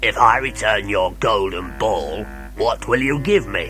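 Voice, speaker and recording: A man puts on a croaky character voice at a fairly slow pace. Clear background noise can be heard. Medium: read story.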